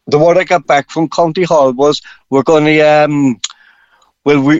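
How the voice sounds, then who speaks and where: A man with a Cork accent speaks at a fairly high pitch. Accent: Irish (Cork). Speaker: funfair operator. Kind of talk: radio phone-in interview.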